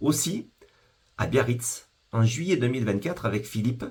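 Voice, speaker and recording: The voice belongs to a man and sounds somewhat breathy. He talks at a moderate pace. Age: 50s. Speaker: business founder. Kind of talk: sales pitch. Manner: formal.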